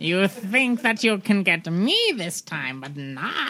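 A put-on character voice, female-sounding and medium in pitch, at a fairly slow pace. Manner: taunting, menacing.

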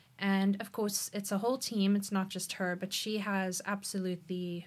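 A woman's somewhat breathy voice at a medium pitch, with monotone, flat intonation and a moderate pace. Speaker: missionary. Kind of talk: memorial tribute conversation. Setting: studio.

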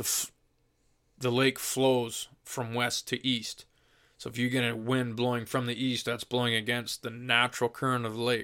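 Speaking with an Ontario accent, a man has a bright, sharp tone and monotone, flat intonation. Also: medium pitch for a man, moderate pace, very clean recording, silent background. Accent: Canadian (Ontario). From southwestern Ontario, Canada. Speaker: fishing guest expert. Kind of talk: casual chat.

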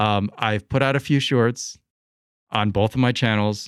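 A man speaks with a General American accent and ordinary pitch variation. The recording is very clean, with a silent background and a dry, close sound with no echo. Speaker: freelance journalist. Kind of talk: casual conversational interview. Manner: halting, repeats words.

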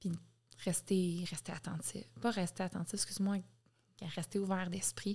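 A somewhat breathy voice with a dark, mellow tone speaks with a Quebec accent and fairly even intonation. The pace is fairly slow, with long, frequent pauses. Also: woman, medium pitch for a woman. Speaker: podcast guest. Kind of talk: casual chat.

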